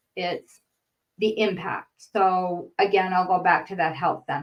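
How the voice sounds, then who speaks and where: Fairly slow pace and ordinary pitch variation from a woman. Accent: Boston. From northern Maine, US (near Canadian border). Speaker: grant writer and trainer. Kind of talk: webinar lecture. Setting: online webinar.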